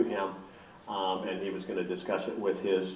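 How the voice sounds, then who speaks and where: A man talks at a moderate pace amid noticeable background noise and audible room echo. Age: 70s. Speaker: philosophy professor and end-of-life advocate. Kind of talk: public lecture. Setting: library talk with audience and microphone. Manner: many filler words, halting.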